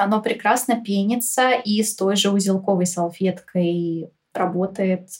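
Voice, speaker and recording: At a fairly slow pace, a woman talks in an ordinary speaking voice with fairly high pitch. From Moscow, Russia. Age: 20s. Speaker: podcast guest, eco-lifestyle enthusiast. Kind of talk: casual interview.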